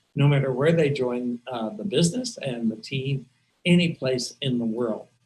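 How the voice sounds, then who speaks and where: His voice is somewhat breathy. The man speaks at medium pitch, varying it in an ordinary way. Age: 70s. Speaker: team leader of a direct-sales business. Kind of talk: webinar talk to a team. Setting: video call.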